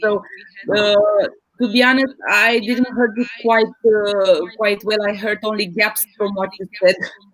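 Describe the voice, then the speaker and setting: A woman's fairly high voice in a non-native accent, fairly slow and with monotone, flat intonation. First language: not English. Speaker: business team representative. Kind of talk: live online panel discussion. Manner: hesitant, many fillers.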